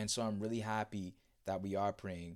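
A man at fairly low pitch, moderate pace and monotone, flat intonation, on a very clean recording with a silent background. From The Bahamas. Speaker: podcast host. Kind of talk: solo reflective talk with prayer. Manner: hesitant, rambling, with many fillers.

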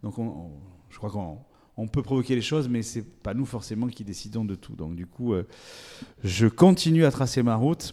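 Dark, mellow male voice at medium pitch, moderate pace, with lively intonation, big swings in loudness and long, frequent pauses. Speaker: agricultural show organizer and local politician. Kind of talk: interview. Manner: hesitant, repeats words.

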